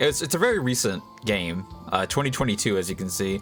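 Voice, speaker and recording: A man speaks with music playing in the background. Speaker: VTuber. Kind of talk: casual talk to camera, video intro.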